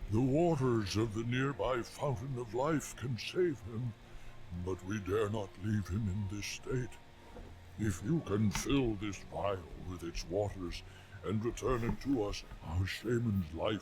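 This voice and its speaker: A man puts on a character voice with a fairly low pitch. He speaks fairly slowly over clear background noise. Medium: video game. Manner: earnest, solemn.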